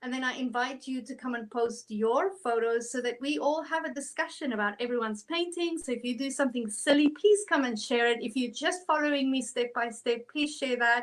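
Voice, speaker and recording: High-pitched woman in a South African accent, fairly quick with hardly any pauses, ordinary pitch variation. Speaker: art instructor. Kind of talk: tutorial. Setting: online livestream. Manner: animated.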